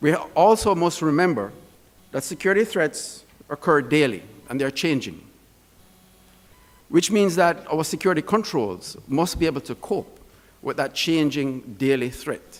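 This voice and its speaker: A man with a Jamaican accent and vocal fry speaks at a moderate pace with a fairly high pitch and lively intonation. He takes long, frequent pauses. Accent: Jamaican accent, noticeable. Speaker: security expert speaker. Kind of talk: conference presentation.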